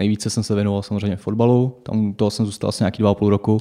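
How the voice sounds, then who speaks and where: On a very clean recording with a silent background, a man speaks with a fairly low pitch and a dark, mellow tone. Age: 20s. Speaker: fitness trainer. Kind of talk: interview. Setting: studio.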